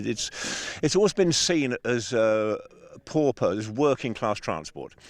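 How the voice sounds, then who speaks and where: Pitch swings very widely as a man talks with an English accent. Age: 70s. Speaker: bicycle designer. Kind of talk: interview. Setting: outdoors.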